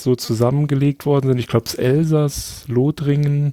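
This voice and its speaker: The sound is dry and close, with no echo. A man with a dark, mellow tone and medium pitch speaks at a moderate pace in a monotone, flat delivery. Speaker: podcast guest. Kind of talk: casual chat. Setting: remote call.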